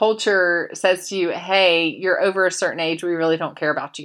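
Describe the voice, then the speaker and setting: A bright, sharp-toned woman's voice on a very clean recording with a silent background. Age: 40s. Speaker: podcast host. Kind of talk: casual chat with book reading. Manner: chatty, with many fillers.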